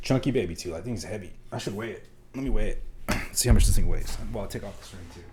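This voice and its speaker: Delivered at a very fast pace in an animated tone, the speech carries audible room echo. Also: man, big swings in loudness. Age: 30s. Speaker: livestreamer building a keyboard. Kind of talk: casual livestream chat.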